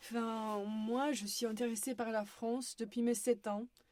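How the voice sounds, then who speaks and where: A woman's voice has a dark, mellow tone and fairly high pitch. She speaks at a fairly slow pace. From Romania, Bucharest. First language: Romanian (speaking French). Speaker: university student. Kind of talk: podcast interview. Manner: hesitant.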